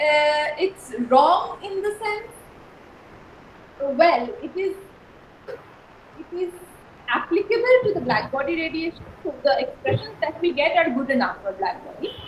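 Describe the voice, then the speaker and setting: A soft-spoken woman talks at a fairly slow pace with long, frequent pauses, her extremely high pitch making very wide pitch swings. Audible room echo and noticeable background noise are present. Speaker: university lecturer. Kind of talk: lecture. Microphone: too quiet.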